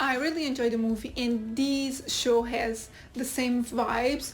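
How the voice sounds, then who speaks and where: A woman speaks at a high pitch with a Portuguese accent, and there is audible echo in the room. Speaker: YouTube TV reviewer. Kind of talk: casual video review.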